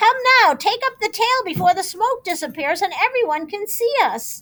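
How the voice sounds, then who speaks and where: In a put-on character voice, a woman speaks at a moderate pace, squeaky and extremely high-pitched. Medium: read story.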